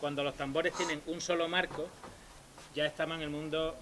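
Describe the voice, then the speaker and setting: Bright and sharp in tone, a man with an Andalusian accent speaks fairly quickly at a fairly high pitch. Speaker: percussionist in early music ensemble. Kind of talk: concert talk introducing instruments.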